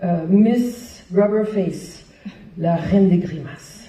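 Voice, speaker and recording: A woman speaks with an American accent. Audible room echo surrounds her voice. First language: English (speaking French). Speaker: hospital clown founder, performer. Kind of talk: public talk. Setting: stage with audience. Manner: hesitant, with fillers.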